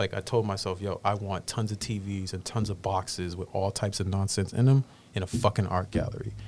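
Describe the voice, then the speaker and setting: A man speaks at a fairly quick pace in a flat, monotone delivery with a somewhat breathy quality. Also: fairly low pitch for a man. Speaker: visual artist and filmmaker. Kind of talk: casual chat. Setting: studio.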